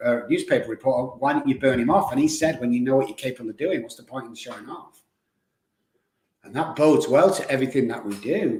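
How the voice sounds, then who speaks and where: Medium-pitched man's voice, animated and somewhat breathy, very fast, with ordinary pitch variation. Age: 60s. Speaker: addiction recovery expert. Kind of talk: podcast interview.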